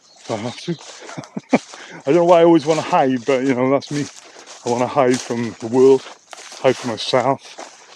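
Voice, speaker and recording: A man at medium pitch and a fairly quick pace, ordinary pitch variation, long and frequent pauses, and noticeable background noise. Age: 50s. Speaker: sound therapist. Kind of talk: casual vlog walkabout. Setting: outdoors.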